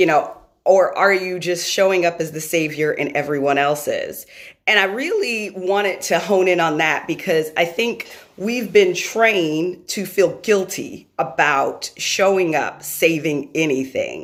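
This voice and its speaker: A woman with a New York accent speaks in an animated tone at a fairly slow pace. Her fairly low pitch shows ordinary variation. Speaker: motivational speaker and live stream host. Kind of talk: motivational live stream talk. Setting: live video stream. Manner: loud.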